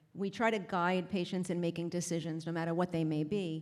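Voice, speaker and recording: A woman speaks at a fairly quick pace. Her pitch sits fairly low. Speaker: palliative care provider. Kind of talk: conference talk. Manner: fast.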